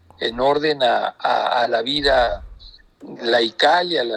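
A man is speaking. Background noise is noticeable. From Mexico, southern Nayarit near Jalisco. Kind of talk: interview.

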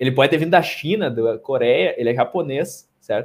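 A man talks with lively intonation. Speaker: podcast host. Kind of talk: casual chat.

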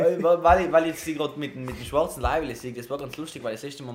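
A man speaks very fast with ordinary pitch variation. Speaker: podcast co-host. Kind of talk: casual chat.

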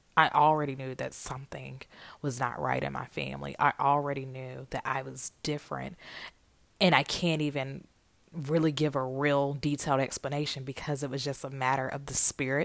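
A woman with a Southern US accent and a very deep, low pitch talks at a moderate pace in a monotone, flat way, with big swings in loudness on a very clean recording with a silent background. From US South, Atlanta, Georgia. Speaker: podcast host, author. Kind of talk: personal monologue. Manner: casual, conversational.

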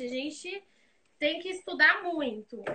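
A woman's high voice is raised and projected. Her intonation is lively. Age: 20s. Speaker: graphic designer. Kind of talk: casual interview chat. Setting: live video stream.

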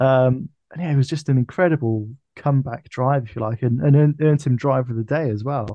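The speaker has a British accent and a moderate pace. Intonation stays fairly even. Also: man. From UK. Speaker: F1 podcast co-host. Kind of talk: casual chat. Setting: video call.

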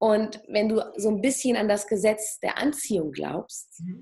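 A woman speaks with a fairly high pitch, ordinary pitch variation and a dark, mellow, somewhat breathy tone. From Germany. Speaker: plastic surgeon and hypnotherapist. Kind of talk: interview.

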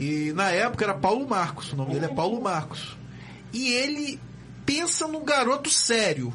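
Over noticeable background noise, a man with a high pitch talks at a moderate pace with very wide pitch swings. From Brazil, Campos dos Goytacazes (RJ). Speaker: community radio host. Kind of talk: casual chat. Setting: studio. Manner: animated.

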